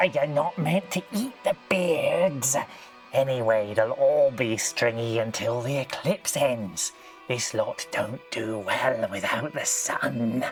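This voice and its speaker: Clear music plays in the background as a put-on character voice speaks at a fairly slow pace. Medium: actual play. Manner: gloating, mischievous.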